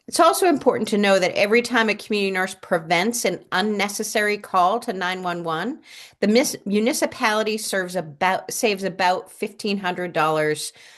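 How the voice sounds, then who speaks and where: Here a woman with an unremarkable speaking voice talks at a fairly quick pace and medium pitch, with lively intonation and hardly any pauses. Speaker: community nurse program presenter. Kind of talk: presentation at a town board meeting.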